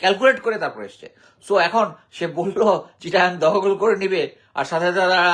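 High male pitch, with ordinary pitch variation. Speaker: retired army officer and commentator. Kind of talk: political commentary monologue. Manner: halting.

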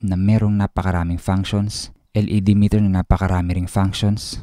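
A man talks in a very deep, low voice with monotone, flat intonation. The sound is dry with no echo, over a quiet background. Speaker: tech reviewer. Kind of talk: product review tutorial. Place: home room. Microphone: studio mic.

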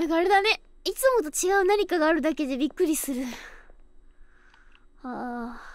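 An extremely high-pitched woman's voice, dry and echo-free, over a quiet background. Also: lively intonation, moderate pace. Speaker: virtual band vocalist streamer. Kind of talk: casual game stream talk. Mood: nervous, relieved, chatty.

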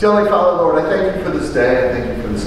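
A man's voice amid noticeable background noise and strong room echo. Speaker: pastor. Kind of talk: church sermon. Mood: calm, reverent prayer. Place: church.

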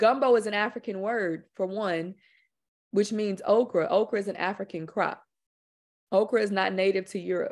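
A woman with an American accent speaks at medium pitch and a moderate pace, with fairly even intonation. She pauses long and often over a quiet background. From Houston, Texas, with Louisiana Creole family. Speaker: filmmaker and author. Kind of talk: presentation and discussion. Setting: video webinar. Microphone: video call.

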